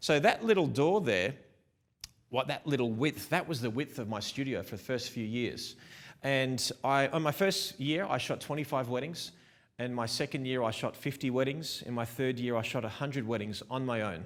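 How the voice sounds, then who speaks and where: An animated man with an Australian accent, medium pitch, ordinary pitch variation and a moderate pace, on a very clean recording with a silent background. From Melbourne, Australia. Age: 40s. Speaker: wedding photographer. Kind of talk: conference talk. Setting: stage with small live audience, also streamed.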